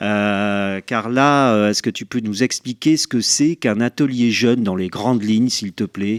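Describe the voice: This man has a fairly low pitch and ordinary pitch variation. He speaks at a fairly slow pace. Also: dry, close sound with no echo.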